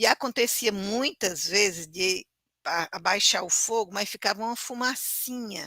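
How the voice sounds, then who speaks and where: A woman speaks with a Cearense accent and a bright, sharp tone. The sound is dry and close, with no echo. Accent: Cearense northeastern Brazilian Portuguese. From Brazil, northern interior of Ceará near Sobral. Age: 60s. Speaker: teacher. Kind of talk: lecture.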